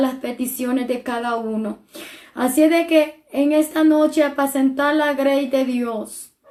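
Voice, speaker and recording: A woman's high-pitched, monotone, flat delivery at a fairly slow pace. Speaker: preacher. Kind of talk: sermon.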